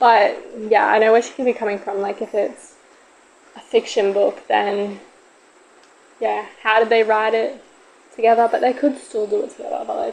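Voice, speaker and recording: Here a woman speaks at a moderate pace. She leaves long, frequent pauses. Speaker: solo podcaster. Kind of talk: casual podcast monologue. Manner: loud.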